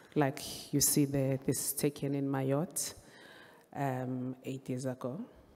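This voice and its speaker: Fairly slow, monotone speech with flat intonation and a dark, mellow tone. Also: woman. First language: Zulu. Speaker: visual artist, photographer. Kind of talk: panel presentation.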